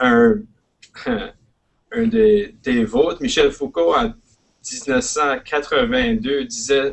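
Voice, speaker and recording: Speaking very slowly with long, frequent pauses, a man with an Acadian accent uses a fairly high voice and very wide pitch swings. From Prince Edward Island, Canada (Acadian). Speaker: educator and guest speaker. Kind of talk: presentation. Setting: live online webinar. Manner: halting, hesitant.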